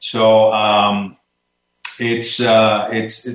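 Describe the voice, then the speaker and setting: There is a Puerto Rican accent in this man's medium-pitched voice. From Puerto Rico. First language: Spanish. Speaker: retired army colonel. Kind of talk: interview. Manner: halting, many repeated words.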